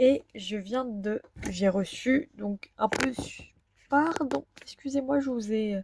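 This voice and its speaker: Speaking at a very slow pace, a woman uses a high pitch with ordinary variation in a dry, close sound with no echo. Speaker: vlogger. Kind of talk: casual vlog talk to camera. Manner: hesitant, many fillers.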